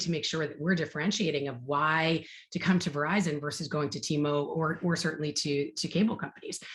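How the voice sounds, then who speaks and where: A woman speaks at a very fast pace in a very deep, low pitch. Her voice is somewhat breathy, with ordinary pitch variation. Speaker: marketing executive. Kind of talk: fireside chat interview. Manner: animated.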